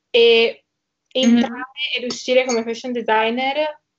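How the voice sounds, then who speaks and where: A woman at a moderate pace, her intonation monotone and flat. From Italy, Trieste. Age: young. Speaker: social media creator. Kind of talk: interview.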